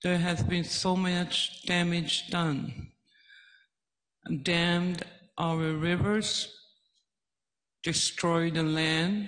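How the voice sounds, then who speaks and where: Very slow speech with long, frequent pauses over a quiet background. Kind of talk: testimony. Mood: emotional, slow. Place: hall. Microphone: handheld.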